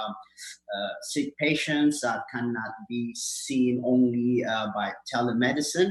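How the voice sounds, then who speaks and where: A man with an Ethiopian accent speaks at a medium pitch. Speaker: community health clinic worker. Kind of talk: award acceptance speech. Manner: halting, many fillers.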